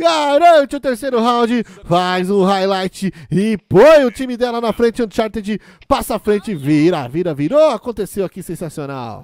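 With hardly any pauses, a man talks at a moderate pace in a high voice whose pitch swings very widely, the sound dry and close with no echo. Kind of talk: live esports commentary. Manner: playful, teasing banter.

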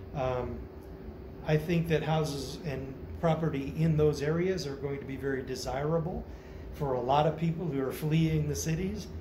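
Noticeable background noise runs under a man's fairly high voice with an American accent. He keeps a moderate pace and fairly even intonation. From United States. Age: 50s. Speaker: vlogger. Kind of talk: casual monologue. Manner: halting, many fillers. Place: home room. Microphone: phone near.

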